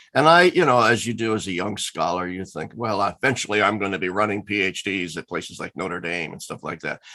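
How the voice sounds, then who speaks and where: With a Midwestern US accent, a man talks at a fairly quick pace in a fairly low pitch and a bright, sharp tone, over a quiet background. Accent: General American, Midwestern. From US Midwest, Lincoln, Nebraska. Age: 60s. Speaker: theologian and former professor. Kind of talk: interview.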